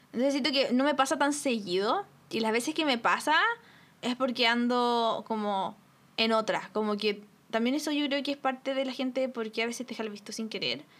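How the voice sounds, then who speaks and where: Her pitch high with ordinary variation, a woman speaks at a moderate pace. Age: 20s. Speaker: podcast co-host. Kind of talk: casual chat.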